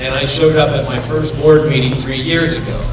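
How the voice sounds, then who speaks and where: A man at a moderate pace with fairly even intonation, with audible room echo and noticeable background noise. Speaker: attorney. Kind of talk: ceremony speech. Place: hall. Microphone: podium.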